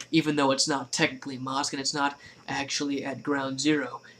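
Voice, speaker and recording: At a moderate pace, a man speaks quietly. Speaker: YouTube vlogger. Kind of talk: casual rant to camera. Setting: at home at night.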